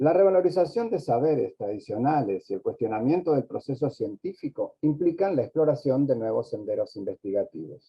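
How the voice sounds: A man talks at a fairly quick pace with few pauses, his pitch medium and his voice showing a slightly husky edge. His intonation is lively.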